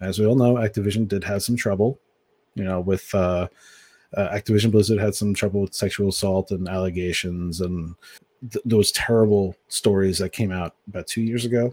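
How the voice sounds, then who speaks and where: Recorded very cleanly, with a silent background and dry, close sound with no echo, a man talks in an ordinary speaking voice. His pitch is fairly low, his intonation fairly even and his pace fairly quick. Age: 30s. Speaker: games journalist. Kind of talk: casual chat.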